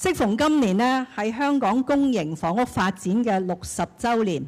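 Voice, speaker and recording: Lively intonation runs through this woman's speech. She has a normal speaking voice. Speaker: senior government official. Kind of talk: ceremony speech.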